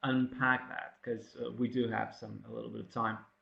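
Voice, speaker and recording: Speaking in a non-native accent, a man holds a medium pitch. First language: not English. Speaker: academic presenter. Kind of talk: webinar presentation. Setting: online webinar. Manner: halting, many fillers.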